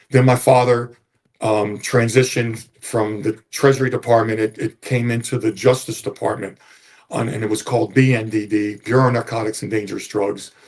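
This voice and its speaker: A man with a somewhat breathy, medium-pitched voice speaks at a fairly quick pace with fairly even intonation. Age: 70s. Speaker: retired police officer. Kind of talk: interview storytelling.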